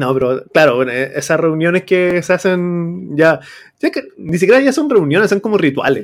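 Using lively intonation, a man with a Chilean accent and a high pitch speaks at a moderate pace. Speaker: teacher and podcast host. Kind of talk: casual chat.

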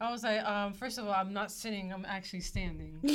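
Talking at a very fast clip, a woman with a fairly high voice is heard over noticeable background noise. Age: 20s. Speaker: podcast co-host, former server. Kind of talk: casual chat. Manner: animated.

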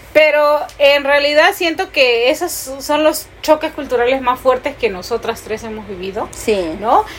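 A woman speaks with a high pitch and lively intonation at a fairly slow pace, barely pausing, over noticeable background noise. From Peru. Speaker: podcast co-host. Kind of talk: casual chat.

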